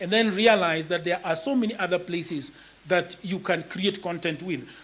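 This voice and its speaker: A man speaks with a Kenyan accent. His pace is moderate. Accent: Kenyan (Luo) English. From Kenya, Nyakach (Luo area). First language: Luo. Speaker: writer and content creator. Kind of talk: panel discussion.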